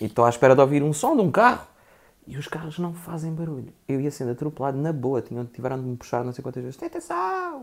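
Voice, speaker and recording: A man with a fairly high pitch rushes along at a very fast pace, showing ordinary pitch variation and big swings in loudness. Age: 30s. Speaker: actor. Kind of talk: casual chat.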